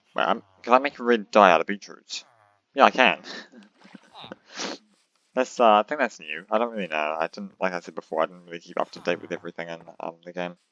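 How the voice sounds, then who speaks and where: Quiet and very deep in pitch, a man speaks at a fairly quick pace with lively intonation, big swings in loudness and long, frequent pauses, in a dry, close sound with no echo. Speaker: gaming YouTuber. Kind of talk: casual gameplay commentary. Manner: hesitant, many fillers.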